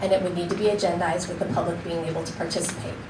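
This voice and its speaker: Very fast speech comes through noticeable background noise and audible room echo. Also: woman. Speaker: county attorney giving training. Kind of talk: training presentation. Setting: public meeting room.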